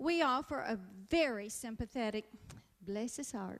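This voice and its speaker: A woman speaks with a Southern US accent and lively intonation. Her tone is bright and sharp. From US South. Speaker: comedian. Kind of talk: stand-up.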